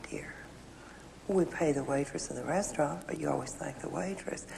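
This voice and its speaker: Lively intonation with an American accent, over noticeable background noise. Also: woman. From Houston, Texas. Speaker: political commentator and author. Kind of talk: interview answer.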